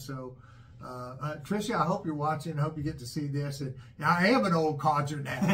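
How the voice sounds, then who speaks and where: Fairly quick speech from a man, amid noticeable background noise and audible room echo. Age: 60s. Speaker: father, channel host. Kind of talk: casual chat. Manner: halting, repetitive fillers.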